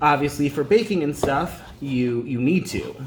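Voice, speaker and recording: There is noticeable background noise. Over it, a man speaks at a moderate pace. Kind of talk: casual cooking talk to camera. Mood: relaxed, casual. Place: kitchen. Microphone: phone near.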